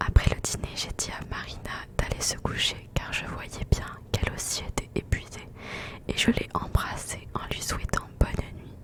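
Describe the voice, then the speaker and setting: Whispered speech from a woman, very slow, with noticeable background noise. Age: 20s. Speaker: ASMR creator. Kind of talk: whispered novel reading.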